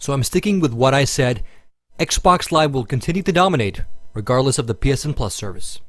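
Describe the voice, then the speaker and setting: A man speaks at a fairly quick pace. His voice is somewhat breathy and fairly high in pitch. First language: Finnish. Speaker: gaming video reviewer. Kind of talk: scripted narration.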